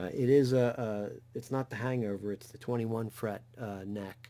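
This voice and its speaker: A dark, mellow tone with a New Jersey accent and ordinary pitch variation. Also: man. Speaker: guitar YouTuber. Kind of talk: tutorial. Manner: halting, many fillers.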